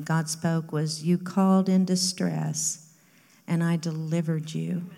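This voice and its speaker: A woman speaks at a very slow pace in a dark, mellow tone with monotone, flat intonation. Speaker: congregation member. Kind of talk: reading aloud. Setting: church, using a microphone.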